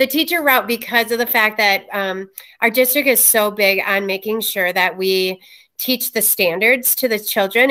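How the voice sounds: A woman speaks at a medium pitch with a bright, sharp tone and ordinary pitch variation.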